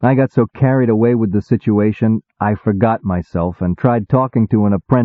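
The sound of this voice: Over a quiet background, an unforced reading voice carries ordinary pitch variation.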